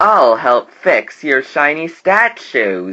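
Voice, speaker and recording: Doing a put-on character voice, a man speaks at a fairly high pitch with very wide pitch swings. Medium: read story.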